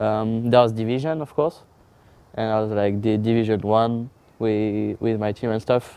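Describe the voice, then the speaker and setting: In a French accent, a man speaks at a moderate pace, his medium-pitched voice dark and mellow in tone, with fairly even intonation. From France. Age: 20s. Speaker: pro esports player. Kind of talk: interview. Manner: halting.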